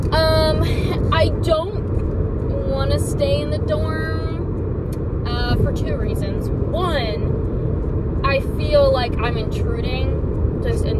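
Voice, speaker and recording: A woman's voice comes through dry, with no echo. Loud background noise sits behind her. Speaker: vlogger driving. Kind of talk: casual vlog chat. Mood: relaxed, joking. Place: car. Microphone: phone near.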